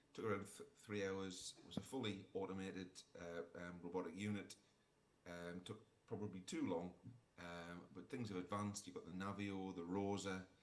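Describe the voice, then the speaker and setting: With audible room echo, a man talks at a moderate pace. His voice is very deep and low, with fairly even intonation. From northern England, Sunderland. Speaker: orthopaedic surgeon. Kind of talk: conference talk. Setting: remote presentation to conference. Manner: halting, many fillers.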